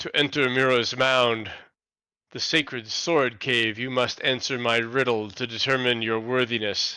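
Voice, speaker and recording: A man puts on a loud, booming character voice at a medium pitch. He keeps a moderate pace, and his intonation is monotone and flat. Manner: commanding.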